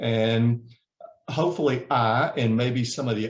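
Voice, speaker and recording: A man speaks with a Southern US accent. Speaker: HR certification trainer. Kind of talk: webinar presentation. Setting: video call.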